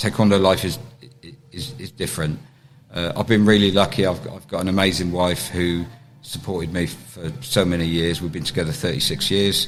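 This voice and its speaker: Over noticeable background noise, a man with an English accent and a very deep, low voice speaks at a fairly quick pace with ordinary pitch variation. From England. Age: 60s. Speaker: taekwondo grandmaster. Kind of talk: interview. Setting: on location during a championship. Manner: halting.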